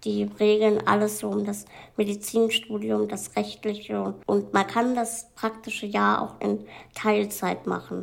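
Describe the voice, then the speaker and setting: Very clean recording, silent background, fairly slow pace. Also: woman. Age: 20s. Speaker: medical student. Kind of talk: casual interview. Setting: seated in wheelchair.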